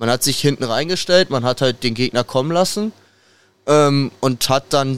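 Recorded with a dry, close sound and no echo, a man with an unremarkable speaking voice talks at a moderate pace and medium pitch. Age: young. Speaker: football fan podcast guest. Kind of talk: casual chat.

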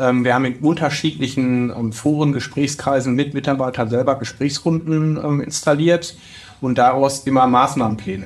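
With noticeable noise in the background, a man delivers his words in a fairly even tone. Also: medium pitch for a man, moderate pace. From Ruhr area, Bochum. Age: 40s. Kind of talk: interview.

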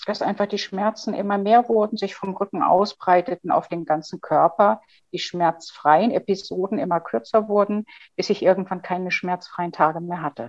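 A woman's medium-pitched, unremarkable speaking voice at a moderate pace, with ordinary pitch variation and a dry, close sound with no echo. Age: 50s. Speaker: chronic pain patient and author. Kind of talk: interview.

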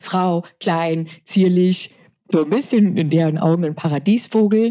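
The voice belongs to a woman with a medium pitch. Her tone is dark and mellow. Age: 30s. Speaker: former fighter pilot and crisis management lecturer. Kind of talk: interview.

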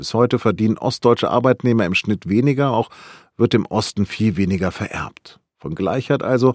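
Vocal fry colors a man's medium-pitched voice as it moves through very wide pitch swings. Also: dry, close sound with no echo. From northern Germany, Hannover. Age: 50s. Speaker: news podcast host. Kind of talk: scripted narration.

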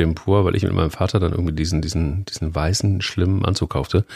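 Fairly quick in pace, a man speaks with a very deep, low pitch and ordinary pitch variation. His voice is somewhat breathy. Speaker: podcast co-host, editor-in-chief. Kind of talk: casual chat. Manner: animated.

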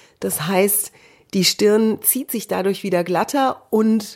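Delivery is very slow. The intonation is mostly flat and level. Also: woman. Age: 40s. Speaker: TV presenter and speech trainer. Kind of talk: solo podcast monologue. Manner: trained clear broadcast diction.

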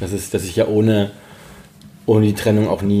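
There is noticeable background noise behind this man. He talks at a fairly quick pace. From Saxony, Dresden. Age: 40s. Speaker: freelance journalist. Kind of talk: casual interview. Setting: home. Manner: halting.

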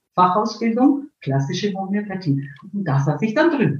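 A fairly high, somewhat breathy woman's voice with very wide pitch swings. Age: 60s. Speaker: homeopath and psychologist. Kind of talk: interview. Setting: live video stream.

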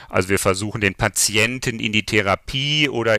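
The man's voice has a bright, sharp tone and ordinary pitch variation, recorded with a dry, close sound and no echo. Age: 50s. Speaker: software company founder. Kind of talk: interview. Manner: hesitant fillers.

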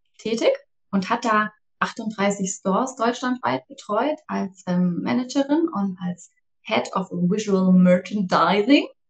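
Speaking at a very slow pace, a woman with a medium pitch sounds somewhat breathy and uses lively intonation. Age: 40s. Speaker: startup co-founder. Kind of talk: casual interview.

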